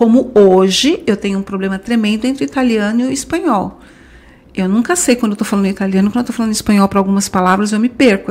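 A woman talks at a very fast pace. Her pitch sits fairly high. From Brazil. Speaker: language school franchise director. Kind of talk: podcast interview.

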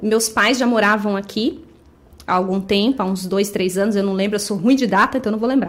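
A woman talks at a fairly quick pace in a medium pitch, with ordinary pitch variation. She has an ordinary speaking voice. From Brazil, Guarulhos (São Paulo state). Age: 30s. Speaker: thrift store owner. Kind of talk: casual interview.

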